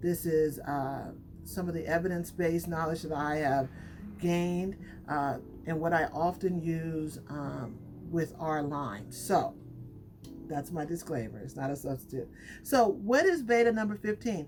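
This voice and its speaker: Over music in the background, a woman with a fairly low pitch talks at a fairly slow pace with lively intonation. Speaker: hair care brand owner and YouTuber. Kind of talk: casual tutorial vlog. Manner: off the cuff, unscripted.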